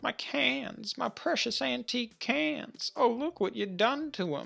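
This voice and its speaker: A man puts on a character voice at a high pitch with very wide pitch swings. He speaks at a fairly slow pace. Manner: yelling, indignant.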